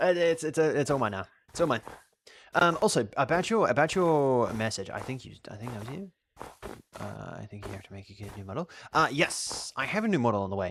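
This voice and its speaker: A man with an Australian accent talks at a fairly quick pace and medium pitch, with very wide pitch swings and big swings in loudness. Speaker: video game streamer. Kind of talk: live game stream chat. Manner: halting, repeats words often; animated.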